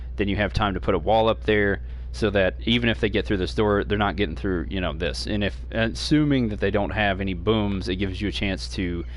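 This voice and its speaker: Through audible room echo, a man with a very deep, low pitch talks at a fairly quick pace, his pitch swinging very widely. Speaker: gaming streamer. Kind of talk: gameplay tutorial. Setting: home stream. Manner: fast; hesitant, many fillers.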